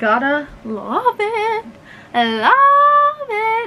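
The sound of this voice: The pitch is extremely high. This is a put-on character voice.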